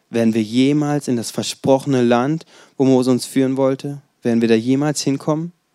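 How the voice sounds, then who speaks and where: At a fairly quick pace, a man with a medium pitch and a dark, mellow tone speaks with fairly even intonation. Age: 20s. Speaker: preacher. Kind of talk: sermon. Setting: church service with congregation.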